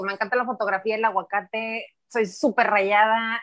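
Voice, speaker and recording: A woman's fairly high voice, fairly even in intonation, at a moderate pace, dry and close with no echo. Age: 40s. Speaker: football fan. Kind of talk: casual chat.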